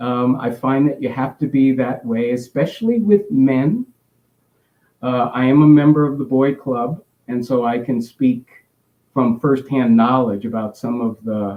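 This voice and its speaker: A man with an American accent speaks at a fairly slow pace and medium pitch, with ordinary pitch variation. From US South, Biloxi, Mississippi. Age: 60s. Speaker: psychiatrist. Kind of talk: health talk. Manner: direct; halting, many fillers.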